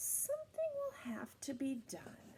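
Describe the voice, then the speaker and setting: A woman's whispering, put-on character voice, gentle in tone and fairly slow in pace. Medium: read story. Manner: gentle, soft.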